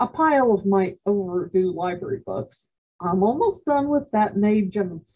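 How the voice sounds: The background is quiet. It is a natural reading voice with lively intonation.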